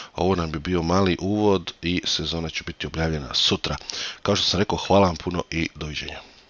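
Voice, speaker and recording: The delivery runs at a very fast pace. The sound is dry and close, with no echo. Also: man, very deep, low pitch for a man. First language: Croatian. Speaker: sim racing commentator. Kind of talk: live commentary. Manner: halting; animated.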